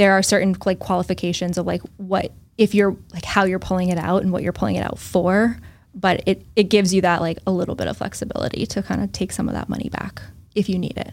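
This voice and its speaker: A woman talks at a very fast pace in a medium pitch, with vocal fry and monotone, flat intonation. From US Northeast, central Massachusetts. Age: 30s. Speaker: financial advisor. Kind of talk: casual interview. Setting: in person.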